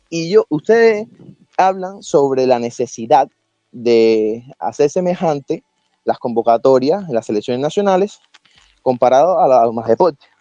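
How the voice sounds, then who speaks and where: Very wide pitch swings from a man at a fairly slow pace, with music in the background. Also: fairly high pitch for a man. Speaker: football analyst. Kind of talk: casual debate.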